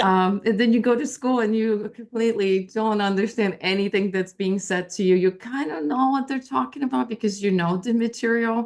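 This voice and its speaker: A woman speaks at a moderate pace with hardly any pauses. Her pitch is fairly high with ordinary variation, and she has a slight Polish accent. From Poland, moved to US as a teenager. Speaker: intuitive life coach. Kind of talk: interview. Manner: halting, many fillers.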